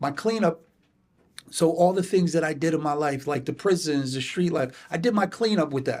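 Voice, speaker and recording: With an American accent and a normal speaking voice, a man talks at a moderate pace in a fairly high pitch. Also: ordinary pitch variation. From New Haven, Connecticut. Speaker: substance abuse counselor. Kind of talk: podcast interview.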